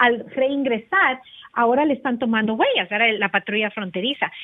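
Speaking at a fairly slow pace, a woman uses lively intonation and a high pitch. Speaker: immigration lawyer. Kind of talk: legal advice segment.

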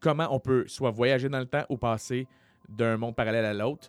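A man with a normal speaking voice at medium pitch and moderate pace, on a very clean recording with a silent background and a dry, close sound with no echo. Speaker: comedian and podcast host. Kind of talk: casual chat; storytelling.

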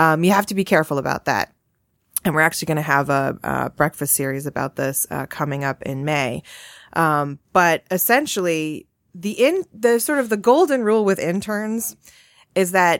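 In an ordinary speaking voice with an American accent, a woman talks at a moderate pace with lively intonation and fairly low pitch, recorded very cleanly against a silent background with a dry, close sound and no echo. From Massachusetts. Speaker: employment lawyer. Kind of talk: casual chat.

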